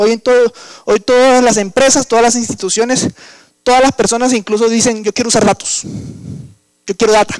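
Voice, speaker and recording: A man with an extremely high pitch speaks at a fairly quick pace but leaves long, frequent pauses. His intonation is monotone and flat, the loudness very even, and the sound dry and close with no echo. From Colombian Caribbean coast. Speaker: engineer and workshop instructor. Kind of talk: lecture. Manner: hesitant, with fillers.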